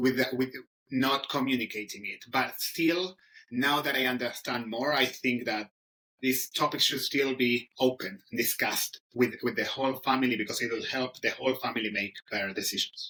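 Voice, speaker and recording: In a strong Argentine accent, a man speaks at a moderate pace with medium pitch, a bright, sharp tone and fairly even intonation. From Argentina. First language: Spanish. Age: 30s. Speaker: English teacher. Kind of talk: interview. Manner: halting, many fillers.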